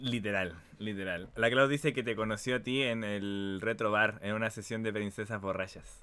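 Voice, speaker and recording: A man with a Chilean accent, fairly low in pitch, at a moderate pace. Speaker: talk show host; stream host interviewer. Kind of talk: casual interview; interview questions, casual talk show. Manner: animated. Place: home room. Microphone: headset.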